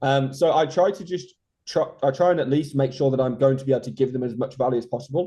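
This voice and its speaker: A somewhat breathy man talks at a very fast pace. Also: medium pitch for a man, ordinary pitch variation. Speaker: SEO consultant. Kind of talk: interview.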